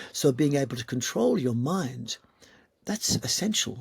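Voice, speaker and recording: This man's voice is somewhat breathy. He speaks at a medium pitch. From Malta. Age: 60s. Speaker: yoga teacher. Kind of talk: interview conversation.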